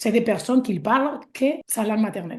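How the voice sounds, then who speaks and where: With a Spanish accent, a woman speaks somewhat breathily at a fairly high pitch and a moderate pace. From Spain. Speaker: Spanish teacher. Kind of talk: interview answer.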